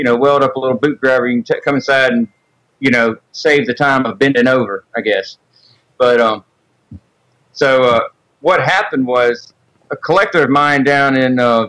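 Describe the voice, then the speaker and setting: Speaking at a moderate pace with a Southern US accent, a man keeps a medium pitch, ordinary pitch variation and very even loudness, with long, frequent pauses. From Mississippi, US South. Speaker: sculptor. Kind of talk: casual interview chat. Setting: Skype call.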